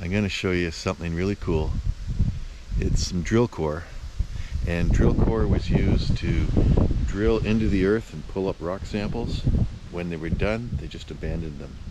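A man talks with long, frequent pauses. The sound is dry with no echo, and there is noticeable background noise. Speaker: rock hound vlogger. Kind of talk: casual vlog chat. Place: open country. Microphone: phone near.

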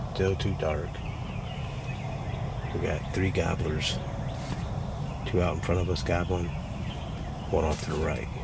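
A man talks over loud background noise. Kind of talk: casual hunting vlog commentary. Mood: playful, teasing. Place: tent. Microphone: phone near.

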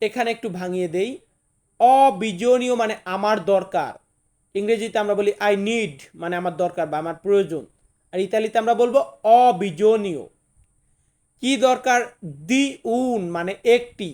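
A man's high-pitched voice shows ordinary pitch variation. The recording is very clean, with a silent background. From Bangladesh. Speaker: language teacher. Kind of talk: tutorial.

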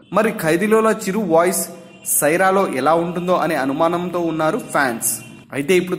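His voice sits high in pitch. Background noise is clearly noticeable behind him. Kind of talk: entertainment news narration.

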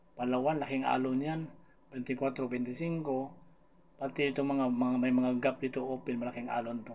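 A man has an ordinary speaking voice at medium pitch, talking at a fairly slow pace with fairly even intonation. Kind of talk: weather report. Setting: screen-share video with voiceover. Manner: casual, conversational Taglish weather explainer, talks viewers through the map.

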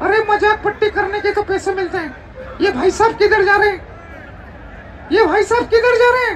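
Using a cartoonish character voice at extremely high pitch, a man speaks at a moderate pace against clear background noise. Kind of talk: ventriloquist comic act. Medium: puppet show. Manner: cheeky, wisecracking.

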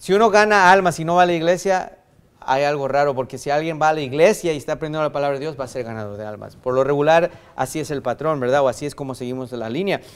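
Very fast speech from a man with ordinary pitch variation. His loudness swings widely. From US–Mexico border region. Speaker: pastor. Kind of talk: sermon. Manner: halting, many fillers and restarts. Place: church. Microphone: podium.

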